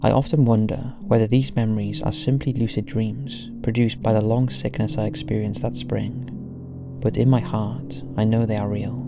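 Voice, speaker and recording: Speech at a moderate pace, with music in the background. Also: man. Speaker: story narrator. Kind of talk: scary story narration.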